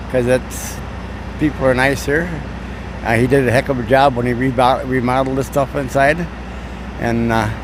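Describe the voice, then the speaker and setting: A man with an American accent, fairly quick and fairly even in intonation, over noticeable background noise. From Wisconsin. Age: 80s+. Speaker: veteran truck driver. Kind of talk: casual interview. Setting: truck stop.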